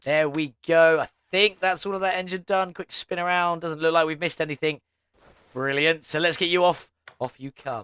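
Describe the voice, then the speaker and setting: With a British accent, a man speaks at a high pitch. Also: moderate pace. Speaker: gaming youtuber. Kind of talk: gameplay commentary. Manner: casual, upbeat.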